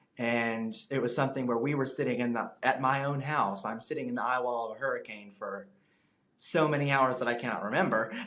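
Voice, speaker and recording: In an American accent, a man talks at a fairly quick pace with audible room echo. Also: medium pitch for a man. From US South, Alabama Gulf Coast (Fairhope). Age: 20s. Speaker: meteorology student. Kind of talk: interview. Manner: animated.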